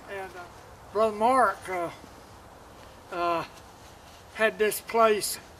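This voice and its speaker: This man speaks at a very slow pace in an Arkansas accent. His pitch is high and his intonation fairly even. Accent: US Southern (Arkansas). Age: 70s. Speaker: first-time deer hunter. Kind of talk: casual interview after hunt. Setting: outdoors. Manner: halting, many fillers.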